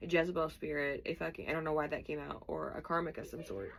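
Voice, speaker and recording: A woman speaks at a fairly quick pace in a very deep, low voice with vocal fry. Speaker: tarot reader. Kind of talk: tarot reading. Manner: fast; casual and chatty.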